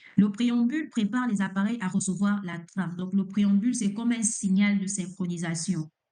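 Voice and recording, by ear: The voice moves at a fairly quick pace, with a dark, mellow tone and ordinary pitch variation. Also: woman, medium pitch for a woman.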